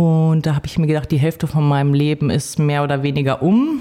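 Her voice has a dark, mellow tone, and this woman's pitch is very deep and low. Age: 40s. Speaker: homemaker, DJ and bassist. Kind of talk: casual interview. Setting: office studio.

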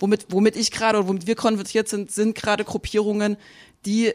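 A woman with a slight Saxon accent speaks at a fairly quick pace and medium pitch on a very clean recording with a silent background. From Saxony, eastern Germany. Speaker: journalist. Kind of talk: panel discussion. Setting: stage with audience.

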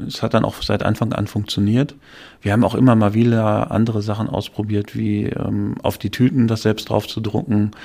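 In a monotone, flat intonation, a man speaks at a moderate pace and a fairly low pitch. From western Germany, Dortmund (Ruhr area). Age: 30s. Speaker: franchise executive. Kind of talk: interview.

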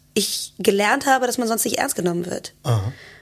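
A woman's fairly high voice at a fairly quick pace over noticeable background noise. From Germany, Cologne. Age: 30s. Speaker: drummer, singer and multi-instrumentalist. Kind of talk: casual interview chat. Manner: lively, animated.

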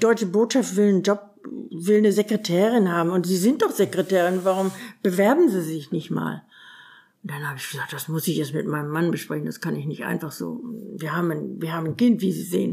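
Fairly quick and fairly low in pitch, a woman speaks with vocal fry in a dark, mellow tone and ordinary pitch variation. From northern Germany. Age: 80s+. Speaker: retiree telling life story. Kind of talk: life-story interview.

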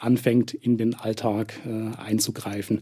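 This man's tone is dark and mellow. He talks at a very slow pace. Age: 40s. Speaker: addiction therapist. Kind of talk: expert interview. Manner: frequent filler hesitations.

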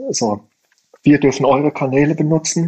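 A man is speaking. His voice is somewhat breathy. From Middle Rhine region, Germany. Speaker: startup founder and designer. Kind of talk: interview conversation. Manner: hesitant, many fillers.

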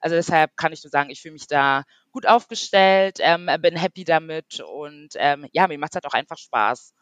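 A woman speaks at a fairly low pitch and a moderate pace. Her loudness swings widely, and the sound is dry and close with no echo. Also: ordinary pitch variation. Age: 30s. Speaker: online beauty industry worker, course participant. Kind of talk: interview. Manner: hesitant, many fillers.

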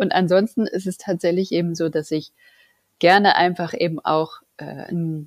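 This woman has a plain, everyday voice, fairly low in pitch, with ordinary pitch variation and a moderate pace. The recording is very clean and dry, close with no echo, and the background is silent. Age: 40s. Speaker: project manager and scrum master. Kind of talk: casual interview.

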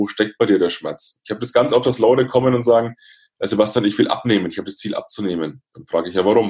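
Very fast speech from a man with fairly even intonation. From Lower Franconia, Bavaria (near Würzburg). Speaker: motivational speaker. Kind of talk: interview.

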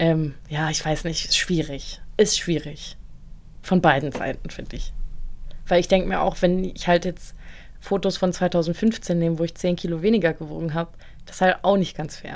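An unremarkable speaking voice from a woman, pitched fairly low, its intonation fairly even, its pace moderate. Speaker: podcast co-host. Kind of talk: casual chat.

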